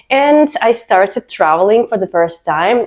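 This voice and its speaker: With a Russian accent, a woman talks at a moderate pace using lively intonation. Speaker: vlogger. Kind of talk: personal story vlog.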